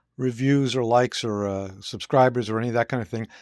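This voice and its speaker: Recorded very cleanly against a silent background with a dry, close sound and no echo, a man speaks at a medium pitch with ordinary pitch variation. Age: 60s. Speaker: guitar gear reviewer. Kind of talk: product review monologue. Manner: hesitant, many fillers.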